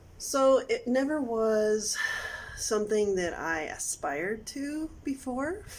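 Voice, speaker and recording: With an American accent and a high pitch, a woman speaks at a very slow pace with very wide pitch swings over noticeable background noise. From United States. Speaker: vlogger learning a language. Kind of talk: personal vlog. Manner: halting, many fillers.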